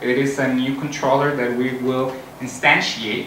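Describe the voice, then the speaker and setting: There is noticeable background noise and audible room echo. A man with a fairly high pitch speaks with a Spanish accent and fairly even intonation. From Costa Rica. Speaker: software engineer, conference speaker. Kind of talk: conference talk.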